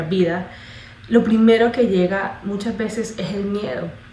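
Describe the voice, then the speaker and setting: A woman with a medium pitch and ordinary pitch variation talks at a moderate pace, with audible room echo and noticeable background noise. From Colombia. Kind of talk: testimony. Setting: congress talk before audience. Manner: halting, with fillers.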